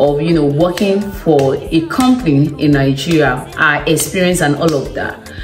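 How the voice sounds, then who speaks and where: A woman with a very deep, low pitch talks at a moderate pace with hardly any pauses and ordinary pitch variation. Faint music plays in the background, and there is audible room echo. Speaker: vlogger. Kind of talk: casual vlog chat. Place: home room. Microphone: phone near.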